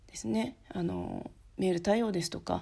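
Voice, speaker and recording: A woman speaks in a dark, mellow tone at a fairly low pitch. Her voice makes very wide pitch swings. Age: 30s. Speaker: podcast host, office worker and home-based freelancer. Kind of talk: casual solo podcast talk. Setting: recording at home at night while child sleeps. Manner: halting, with many fillers.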